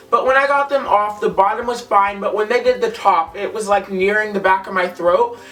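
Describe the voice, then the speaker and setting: Amid noticeable background noise, a man with a high pitch and fairly even intonation talks at a fairly quick pace with hardly any pauses. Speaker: vlogger. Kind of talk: casual vlog. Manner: chatty, casual.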